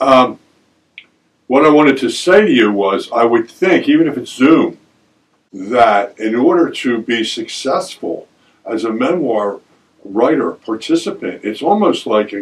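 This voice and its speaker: Speaking at a fairly slow pace with an American accent, a man uses lively intonation at a medium pitch. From Delaware County, Pennsylvania. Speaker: radio host. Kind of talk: radio interview. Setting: radio studio.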